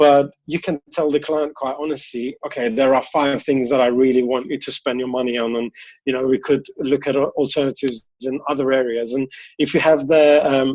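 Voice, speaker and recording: With a medium pitch and a moderate pace, this man's intonation stays monotone and flat. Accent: non-native. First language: not English. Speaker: interior designer. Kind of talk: interview. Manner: casual, hesitant with fillers.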